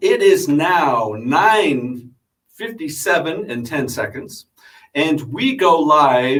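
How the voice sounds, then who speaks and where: Loud and with very wide pitch swings, a man's voice fills the clip. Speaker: radio host. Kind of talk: casual chat. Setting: radio studio.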